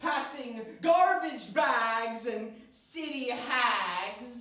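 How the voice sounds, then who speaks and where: A man with an extremely high voice projects it loudly, and room echo can be heard around him. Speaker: spoken word poet. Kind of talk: spoken word poetry performance. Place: studio.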